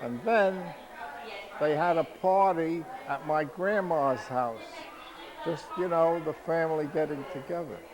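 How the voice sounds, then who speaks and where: A man's high-pitched voice in a New York accent, ordinary pitch variation, a fairly slow pace and long, frequent pauses, with audible room echo and crowd noise behind. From New York City (Harlem, Bronx). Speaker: family elder interviewed. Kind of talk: family oral history interview.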